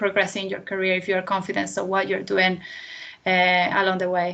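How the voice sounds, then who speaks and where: This is a woman speaking. Her pitch is medium. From Venezuela. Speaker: chemical engineer. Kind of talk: careers talk Q&A.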